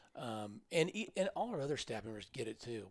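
Here a man is speaking. He has a Midwestern US accent. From Kansas (Pratt). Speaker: transportation agency executive. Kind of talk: interview.

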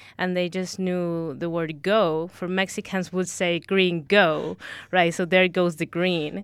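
A woman's fairly low voice with a Spanish accent, flat and monotone, at a very slow pace. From Ecuador. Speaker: recent university graduate. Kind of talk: casual chat.

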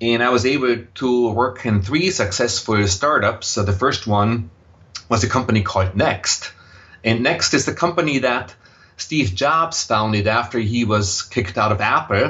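A man with an Austrian accent, medium in pitch, at a moderate pace with ordinary pitch variation and very even loudness. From Austria, Vienna. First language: German. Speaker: impact investor. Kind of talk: interview. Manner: hesitant, many fillers.

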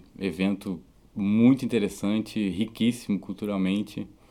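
The man's voice is fairly low in pitch and dark and mellow in tone. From southern Brazil (Rio Grande do Sul). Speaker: musician. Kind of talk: interview. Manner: halting.

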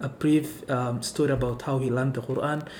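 Noticeable background noise runs under a man's medium-pitched voice. He speaks at a moderate pace with monotone, flat intonation. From Kenya, Garissa. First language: Somali. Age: 20s. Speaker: immigrant, community navigator. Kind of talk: casual interview, personal storytelling. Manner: soft-spoken, gentle.

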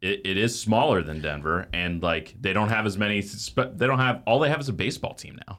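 A man's fairly quick speech with lively intonation. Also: very clean recording, silent background. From Texas, Dallas. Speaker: podcast host. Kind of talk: casual chat. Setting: studio.

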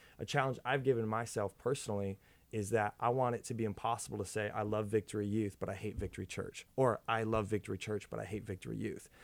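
A man with an American accent and a fairly low pitch speaks at a very fast pace. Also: fairly even intonation, hardly any pauses. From Minnesota, US. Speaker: youth pastor. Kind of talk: casual chat.

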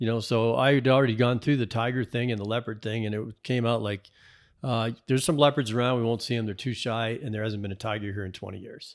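At a very fast pace, a man with a medium pitch keeps a fairly even intonation on a very clean recording with a silent background. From New England, Massachusetts. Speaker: fly fishing angler and author. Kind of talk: casual chat.

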